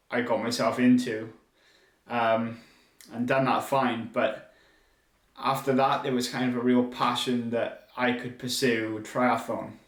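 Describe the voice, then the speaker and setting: Audible room echo surrounds a man speaking with monotone, flat intonation. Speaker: podcast host and triathlon brand founder. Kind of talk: solo podcast monologue. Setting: speaking to a camera.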